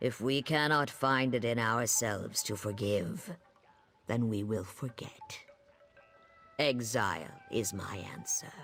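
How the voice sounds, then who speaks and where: The voice is a put-on character, delivered at a fairly slow pace. Long pauses come often. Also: man, medium pitch for a man. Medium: video game. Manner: measured, formal, speaks in nature metaphors.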